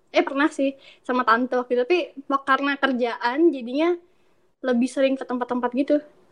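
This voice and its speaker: Speaking at a very fast pace, a woman keeps a high pitch with fairly even intonation. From Indonesia, moved around (Bali, Pekanbaru, Malang, Solo). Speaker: podcast guest, language education graduate. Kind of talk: casual chat. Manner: calm, polite.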